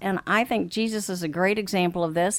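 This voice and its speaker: A woman with an American accent talks at a moderate pace in a medium pitch, an ordinary speaking voice on a very clean recording with a silent background. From Africa, then Texas. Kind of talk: interview about marriage and counseling, casual conversation.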